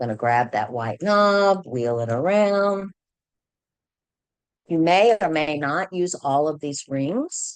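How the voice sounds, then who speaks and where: A woman with an American accent speaks at a very slow pace, leaving long, frequent pauses. Her very deep, low voice moves through very wide pitch swings. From Virginia. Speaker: scrapbooking consultant. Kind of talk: tutorial.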